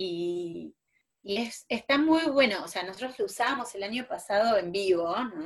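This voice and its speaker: Her intonation lively and her pace fairly slow, a woman talks in an ordinary speaking voice. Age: 40s. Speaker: preschool teacher. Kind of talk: casual interview chat.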